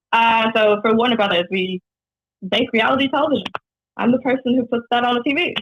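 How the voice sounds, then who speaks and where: A woman with a fairly high pitch and ordinary pitch variation talks at a very fast pace with very even loudness, broken by long, frequent pauses. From New Zealand, Whangaparaoa; Canada until age 8. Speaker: singer-songwriter. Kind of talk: casual radio interview. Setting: phone call.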